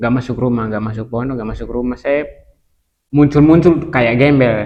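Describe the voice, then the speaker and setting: The speaker has a Kupang accent. The pace is moderate and the intonation fairly even. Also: man, medium pitch for a man. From East Nusa Tenggara, Kupang. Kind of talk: testimony.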